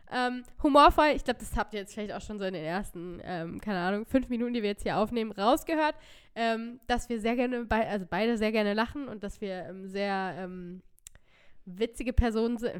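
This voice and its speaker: An ordinary speaking voice with lively intonation at a moderate pace, on a very clean recording with a silent background. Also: woman. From northern Germany, near Hannover. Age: 20s. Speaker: podcast co-host. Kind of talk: casual chat.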